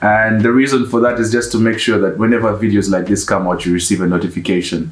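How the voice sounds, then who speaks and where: Noticeable background noise and audible room echo run through the recording. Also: man. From Uganda. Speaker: YouTuber, one half of couple. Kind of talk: casual Q&A chat.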